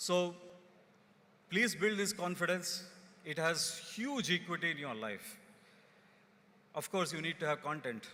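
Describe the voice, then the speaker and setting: With a Kannada accent, a man speaks in a high pitch with a bright, sharp tone, lively intonation, and long, frequent pauses. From India, rural Karnataka. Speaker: company executive. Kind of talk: convocation speech. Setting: stage with audience.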